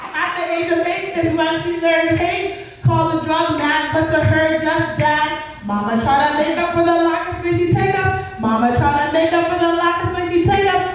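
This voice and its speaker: Noticeable background noise sits behind fairly even intonation. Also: woman. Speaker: spoken word poet. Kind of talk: spoken word poetry performance. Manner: emotional, powerful.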